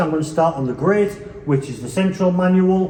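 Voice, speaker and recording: A man's high-pitched voice with ordinary pitch variation and an English accent, in a room with audible echo. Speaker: organ enthusiast video presenter. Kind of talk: informal demonstration tour. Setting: church. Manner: relaxed, hesitant with fillers.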